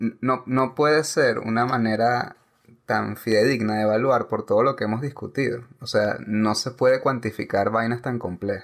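An unremarkable speaking voice from a man, with fairly even intonation at a moderate pace. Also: medium pitch for a man. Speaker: film podcast co-host. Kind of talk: casual chat. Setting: recording from home during quarantine.

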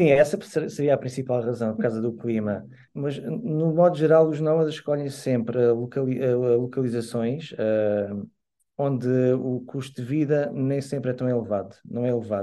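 Speaking at a moderate pace, a man uses a medium pitch, ordinary pitch variation and a dark, mellow tone. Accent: European Portuguese. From Algarve, Portugal. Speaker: musician and community organizer. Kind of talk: podcast interview. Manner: halting.

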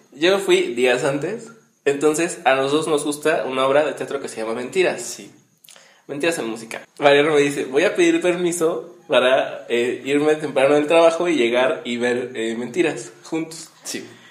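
Audible room echo surrounds a man with a fairly high pitch. He keeps a moderate pace and ordinary pitch variation. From Mexico, Morelia (Michoacán). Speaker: podcast host, radio presenter. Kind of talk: casual chat. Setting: home recording.

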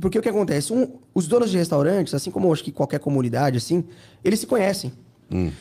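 With a dark, mellow tone and a high pitch, a man talks at a very fast pace with lively intonation. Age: 30s. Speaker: entrepreneur and Instagram influencer. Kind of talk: casual interview.

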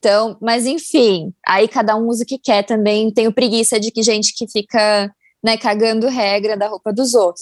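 In an ordinary speaking voice, a woman with a fairly high pitch talks at a moderate pace and fairly even intonation, recorded very cleanly with a silent background and a dry, close sound with no echo. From Brazil, São Paulo. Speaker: fashion marketing content producer. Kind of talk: casual chat.

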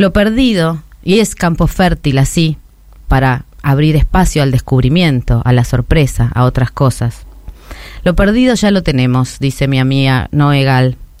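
In a Rioplatense accent, a woman with a very deep, low pitch speaks with lively intonation and very even loudness. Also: fairly slow pace. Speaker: radio host. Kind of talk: scripted editorial.

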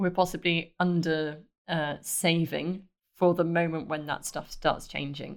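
At a fairly slow pace, a woman with a British accent speaks in a fairly low pitch with monotone, flat intonation. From Britain. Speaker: startup accelerator director. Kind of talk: podcast interview.

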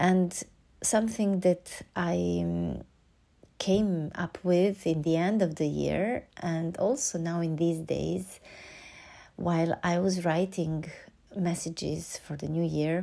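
In a very clean recording with a silent background, a woman speaks in a calm tone with a Serbian accent. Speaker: podcast host and oboist. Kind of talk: reflective solo monologue. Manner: calm, hesitant with fillers.

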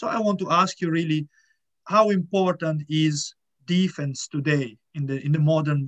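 A man with ordinary pitch variation, in a dry, close sound with no echo. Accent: Italian. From Italy. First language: Italian. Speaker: podcast host. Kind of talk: interview.

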